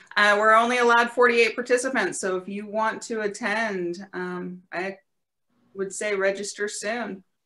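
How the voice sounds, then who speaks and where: A woman talks at a fairly slow pace with a bright, sharp tone at a medium pitch. Her intonation stays fairly even while her loudness swings widely. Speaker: scouting leadership trainer. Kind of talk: promotional plug. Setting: video call. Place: home room. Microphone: webcam.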